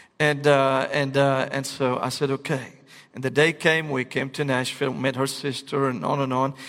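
Speaking at a moderate pace with an Arabic accent, a man uses a fairly high pitch and monotone, flat intonation. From Syria, Damascus. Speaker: pastor. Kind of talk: sermon.

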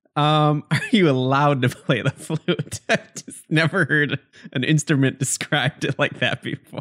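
In a normal speaking voice, a man speaks at a fairly high pitch and a fairly slow pace with fairly even intonation, the sound dry and close with no echo. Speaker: podcast host. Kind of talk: casual banter podcast.

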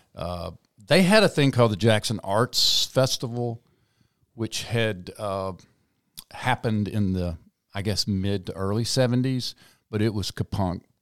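A man with a Mississippi accent, fairly low-pitched, at a moderate pace, in a very clean recording with a silent background and a dry, close sound with no echo. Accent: US Southern (Mississippi). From South Mississippi. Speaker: parade founder and event organizer. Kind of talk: casual interview.

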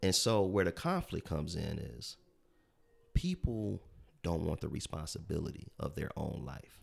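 A man speaks in a very deep, low pitch with vocal fry. His pace is moderate and his pitch varies in an ordinary way. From US Midwest, south side of Chicago. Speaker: entrepreneur. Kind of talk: interview.

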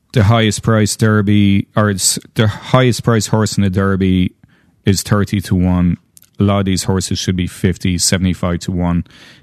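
A man talks with an Irish accent. His intonation is monotone and flat. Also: moderate pace. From Ireland. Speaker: horse farm owner. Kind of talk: casual chat.

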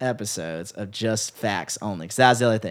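A man with an American accent talks with very wide pitch swings. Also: very clean recording, silent background. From Chicago area (Palos Hills). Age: 20s. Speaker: bass player and musician. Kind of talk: interview conversation.

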